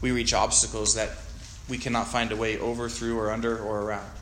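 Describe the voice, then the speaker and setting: Someone with an American accent speaks in a monotone, flat intonation, with audible room echo. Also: man. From Montana. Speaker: guest pastor. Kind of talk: sermon.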